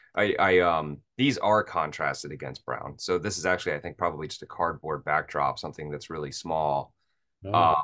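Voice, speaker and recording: A man speaks at a moderate pace with a very deep, low pitch. His tone is bright and sharp against a quiet background. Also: ordinary pitch variation. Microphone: video call.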